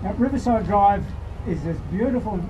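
Noticeable background noise sits behind a voice with ordinary pitch variation. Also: man. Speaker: rally speaker. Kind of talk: rally speech. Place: stage. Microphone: camera far.

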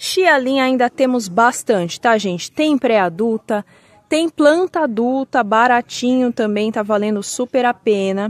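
This woman talks at a very slow pace, her intonation lively throughout. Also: dry sound with no echo. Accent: Brazilian. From Brazil. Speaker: orchid seller. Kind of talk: sales pitch, showing and pricing each plant in an order. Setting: video, holding plants up to the camera. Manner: urgent, upbeat pitchman patter, pushing listeners to buy now; chatty and friendly, addressing viewers as 'gente'. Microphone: phone near.

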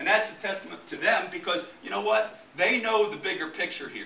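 With a raised, projected voice, a man speaks amid audible room echo and light background noise. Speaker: football coach presenting. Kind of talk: presentation talk to audience. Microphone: camera far.

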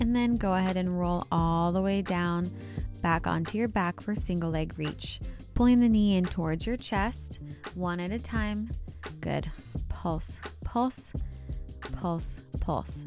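A woman speaks at a fairly slow pace with long, frequent pauses. Clear music plays in the background, and the sound is dry with no echo. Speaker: fitness instructor. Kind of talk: workout instruction.

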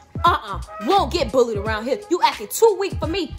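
The speech runs at a very fast pace over clear music in the background. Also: woman. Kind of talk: comedic skit scolding. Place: home room. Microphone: phone near.

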